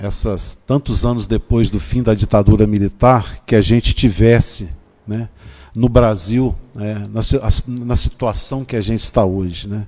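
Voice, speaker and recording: A man speaks at a fairly slow pace and a fairly low pitch. His tone is dark and mellow, with ordinary pitch variation. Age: 60s. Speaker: legislative consultant. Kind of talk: panel debate closing statement. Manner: halting.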